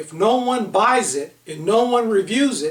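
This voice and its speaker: A loud man speaks at a high pitch. Noticeable background noise runs under him. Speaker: author and leadership consultant. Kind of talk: online book seminar talk.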